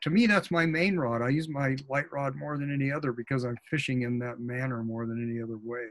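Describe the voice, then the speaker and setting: A man at medium pitch, very fast, with hardly any pauses and ordinary pitch variation. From Oregon coast, US Pacific Northwest; Oregon. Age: 70s. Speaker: fly fishing author and expert; presenter. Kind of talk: webinar presentation. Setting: video call. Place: office. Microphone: webcam.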